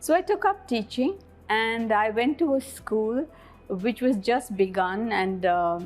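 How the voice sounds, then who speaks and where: Over music in the background, a woman with a fairly high pitch speaks at a moderate pace. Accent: Indian. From India, Bangalore. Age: 60s. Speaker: school principal. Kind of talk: interview.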